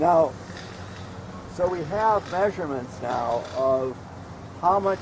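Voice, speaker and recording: A man's voice with lively intonation against noticeable background noise. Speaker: aquaculture project leader giving a tour. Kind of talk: guided tour explanation. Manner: halting, many repetitions.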